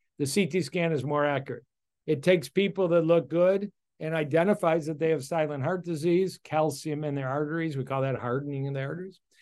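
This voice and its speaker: Against a quiet background, a man with a fairly high pitch speaks at a fairly quick pace with fairly even intonation and an unremarkable speaking voice. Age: 60s. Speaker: cardiologist. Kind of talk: interview.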